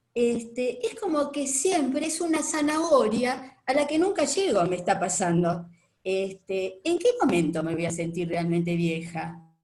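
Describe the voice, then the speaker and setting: A woman with a Rioplatense accent talks very slowly in a somewhat breathy voice. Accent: Argentine Rioplatense Spanish. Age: 70s. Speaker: retired participant in discussion. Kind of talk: casual testimony in online discussion. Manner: hesitant, many fillers.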